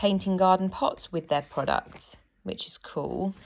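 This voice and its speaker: A woman speaks at a fairly slow pace in a British accent, her pitch medium with ordinary variation. The recording is very clean, with a silent background. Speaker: home renovation vlogger. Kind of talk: casual DIY vlog. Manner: soft-spoken, quiet.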